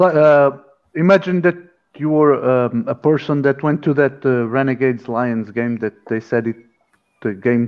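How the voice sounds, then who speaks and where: Pausing often and at length, a man speaks at a medium pitch with ordinary pitch variation. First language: Portuguese. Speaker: podcast co-host. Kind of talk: casual interview.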